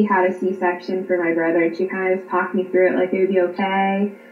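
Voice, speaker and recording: A woman with an American accent and a medium pitch speaks at a fairly quick pace over noticeable background noise. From Pennsylvania. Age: 30s. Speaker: stay-at-home mother and online teacher. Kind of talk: personal storytelling interview.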